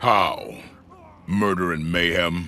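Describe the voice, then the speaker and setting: This is a put-on character voice from a man. The pitch is pitched very deep and low. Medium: video game. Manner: calm, dry.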